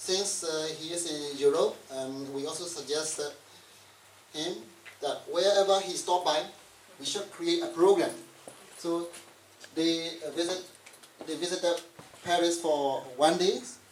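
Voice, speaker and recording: With audible room echo and noticeable background noise, a high-pitched man speaks in fairly even intonation, leaving long, frequent pauses. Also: fairly slow pace. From Burma. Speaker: event facilitator, exile media worker. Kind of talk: speech introducing guests. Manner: halting, many fillers.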